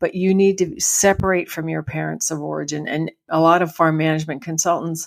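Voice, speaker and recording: This is an ordinary speaking voice, moving at a fairly quick pace with hardly any pauses and fairly even intonation. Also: woman, fairly low pitch for a woman. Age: 60s. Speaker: farm family transition consultant. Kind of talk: interview.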